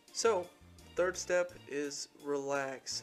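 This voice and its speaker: A man speaks while music plays in the background. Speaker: student narrator. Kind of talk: tutorial.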